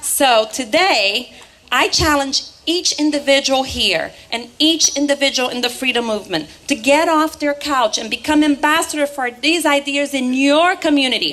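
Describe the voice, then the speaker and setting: A Portuguese accent at a moderate pace, with ordinary pitch variation and noticeable background noise. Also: woman, high pitch for a woman. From Brazil, Rio de Janeiro. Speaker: political activist. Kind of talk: political rally speech. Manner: animated.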